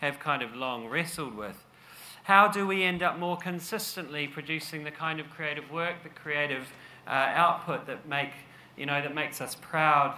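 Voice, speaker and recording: A man talks at a moderate pace with ordinary pitch variation over light background noise. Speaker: conference speaker. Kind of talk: presentation talk. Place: stage. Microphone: podium.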